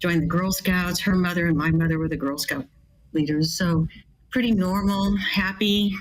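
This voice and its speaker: The woman's voice sits fairly low and is somewhat breathy. Her pitch varies in an ordinary way. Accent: American. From US West Coast, California. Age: 70s. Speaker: bioethicist. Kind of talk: testimony.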